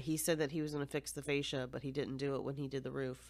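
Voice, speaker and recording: In a very clean recording with a silent background, a woman with an American accent speaks loudly at a very deep, low pitch, with fairly even intonation. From United States. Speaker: podcast host. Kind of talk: casual chat. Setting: home recording.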